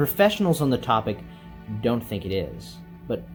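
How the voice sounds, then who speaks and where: Music plays in the background as a man speaks. His fairly low voice moves in very wide pitch swings. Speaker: movie reviewer. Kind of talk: video essay narration. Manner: relaxed.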